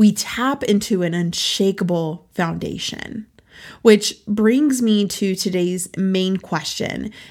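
Very slowly and in a warm tone, a woman speaks at a medium pitch with ordinary pitch variation on a very clean recording with a silent background. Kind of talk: devotional teaching monologue. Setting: studio. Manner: warm, encouraging.

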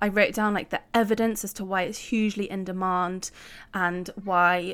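With a British accent, a woman speaks at a medium pitch in a flat monotone on a very clean recording with a silent background. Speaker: podcast host and life coach. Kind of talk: solo podcast monologue.

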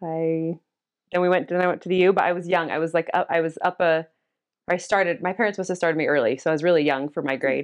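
Against a quiet background, a woman with a Utah accent talks at a very fast pace with fairly low pitch and fairly even intonation. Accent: Utah American. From Cottonwood Heights, Utah. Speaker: church member and mother. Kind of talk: casual interview about faith. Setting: at home.

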